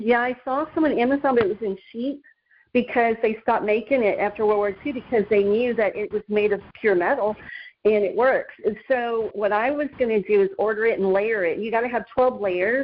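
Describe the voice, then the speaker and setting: An ordinary speaking voice from a woman, fairly high in pitch, fairly quick in pace, with ordinary pitch variation. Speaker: guest speaker giving shielding tips. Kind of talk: informal talk.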